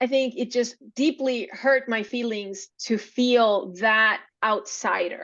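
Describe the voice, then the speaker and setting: Speaking very slowly in a Spanish accent, a woman uses a high pitch with ordinary pitch variation. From Venezuela. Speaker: podcast guest. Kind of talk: interview storytelling.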